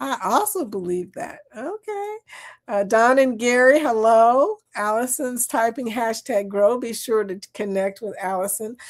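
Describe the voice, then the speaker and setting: A woman with a Southern US accent talks at a fairly slow pace in a fairly high voice, with an animated tone and ordinary pitch variation. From US South. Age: 60s. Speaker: live stream chat host. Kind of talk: casual chat.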